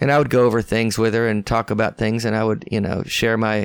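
This man has a Southern US accent and a medium pitch, speaking at a moderate pace. The sound is dry and close with no echo, in a very clean recording with a silent background. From US South. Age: 60s. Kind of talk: casual interview chat. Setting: in person.

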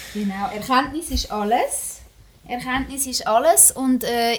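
A woman keeps a moderate pace and ordinary pitch variation in a plain, everyday voice. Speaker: podcast host. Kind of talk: casual chat.

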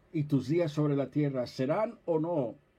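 The man's tone is dark and mellow. He delivers his words at a very slow pace. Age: 70s. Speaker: pastor. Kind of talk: sermon. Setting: office livestream.

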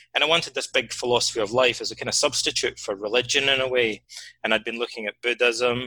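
At a fairly quick pace, a man talks with a Scottish accent, the sound dry and close with no echo. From Scotland. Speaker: writer and psychotherapist. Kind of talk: interview.

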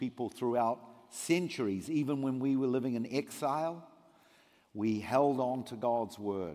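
At a moderate pace, a man speaks in a medium pitch with a dark, mellow tone. His pitch variation is ordinary. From New Zealand. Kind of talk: sermon. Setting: church.

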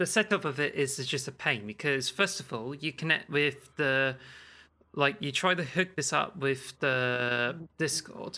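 A man's fairly high, bright, sharp voice with a slight Cornish accent at a moderate pace. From Cornwall, raised among farmers. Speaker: podcast co-host.

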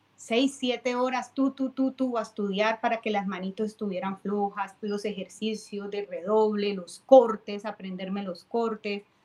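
A woman speaks in a Cali Colombian accent at a fairly high pitch. Her pace is fairly slow and her intonation fairly even. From Colombia, Cali. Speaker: timbal player and percussion teacher. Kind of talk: casual interview.

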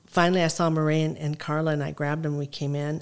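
A woman with a very deep, low pitch talks at a fairly quick pace in a monotone, flat intonation. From Lebanon (Zahle), moved to Mankato, Minnesota. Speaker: restaurant owner and city mayor. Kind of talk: casual interview conversation.

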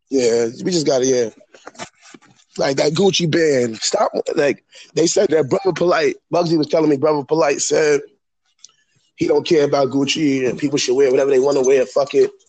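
A man speaks at a moderate pace with fairly high pitch and ordinary pitch variation. His loudness stays very even, broken by long, frequent pauses. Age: 30s. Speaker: aspiring rapper. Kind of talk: casual chat.

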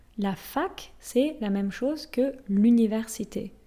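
The voice has a dark, mellow tone, lively intonation and a somewhat breathy quality. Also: woman. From France. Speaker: French language teacher podcaster. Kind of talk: language lesson. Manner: switches between French and English explanations.

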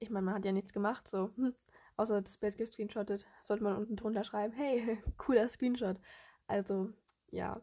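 A woman at a moderate pace, monotone and flat, with long, frequent pauses. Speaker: social media fan page creator, podcaster. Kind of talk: casual solo monologue. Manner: chatty, hesitant with fillers.

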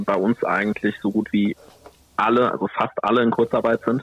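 An ordinary speaking voice from a man, medium in pitch, at a moderate pace. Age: 20s. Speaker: bar manager, trained waiter. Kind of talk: casual chat.

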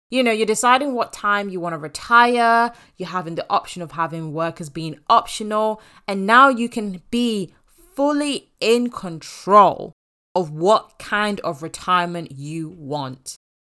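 A woman with an English accent speaks at a fairly slow pace, with medium pitch and a bright, sharp tone. Her intonation is lively, her loudness swings widely, and the recording is very clean with a silent background. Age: 20s. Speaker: podcast host and money coach. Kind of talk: solo podcast monologue. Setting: home office.

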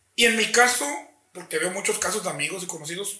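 The speaker has a Mexican accent, and there is audible room echo. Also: man. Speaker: teacher and father. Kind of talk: casual chat.

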